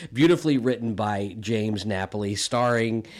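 Enthusiastic and upbeat, a man speaks in a very clean recording with a silent background. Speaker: podcast creator and director. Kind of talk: podcast intro, upbeat promo. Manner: enthusiastic, upbeat.

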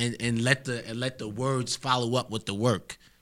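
A man speaks at a moderate pace with a medium pitch. His tone is bright and sharp. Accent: New York. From Harlem, New York City. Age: 20s. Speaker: rapper and audio engineer. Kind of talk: casual interview chat.

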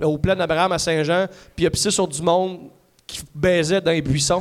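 Talking at a fairly quick pace, a man with a high pitch keeps his intonation fairly even. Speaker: comedian. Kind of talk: casual chat. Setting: stage with audience. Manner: fast.

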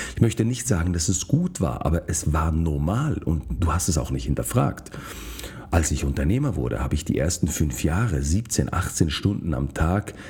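A man's very deep, low voice, lively in intonation, at a fairly slow pace. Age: 40s. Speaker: podcast host, physician. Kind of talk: solo monologue podcast.

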